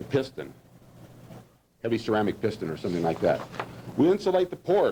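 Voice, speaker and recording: A man speaks at medium pitch, with very wide pitch swings. His pace is fairly quick, broken by long, frequent pauses. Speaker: engineering lecturer. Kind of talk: lecture. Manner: fast.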